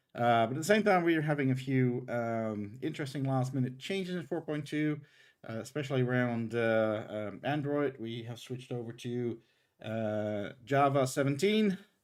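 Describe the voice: With lively intonation, a man speaks in a slightly mellow tone. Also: medium pitch for a man, moderate pace.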